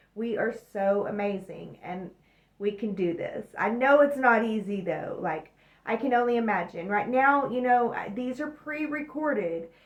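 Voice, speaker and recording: With noticeable background noise behind her, a woman speaks at a moderate pace and fairly high pitch with lively intonation. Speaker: astrology and tarot reader. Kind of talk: weekly astrology forecast monologue.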